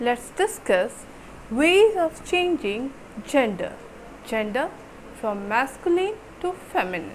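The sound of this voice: A woman speaks slowly in a high pitch with big pitch swings and few pauses, over faint background noise.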